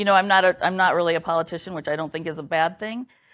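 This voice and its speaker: A speaker with a Midwestern US accent comes through in a very clean recording with a silent background. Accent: US Midwest. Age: 60s. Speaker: local election candidate. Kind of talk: candidate interview.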